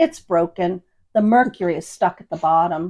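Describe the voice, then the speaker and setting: A woman performs a raspy put-on character voice. It sits at medium pitch with ordinary pitch variation. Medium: read story. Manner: matter-of-fact.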